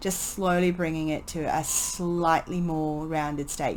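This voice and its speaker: A woman speaks with fairly even intonation. Background noise is noticeable. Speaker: painting tutor. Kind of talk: voice-over painting tutorial. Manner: casual, hesitant.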